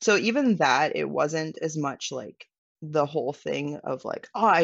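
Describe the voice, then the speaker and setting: At a moderate pace, a woman speaks with a western Canadian accent. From Canada, British Columbia (Vancouver Island). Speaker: van dweller and photographer. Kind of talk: casual interview chat.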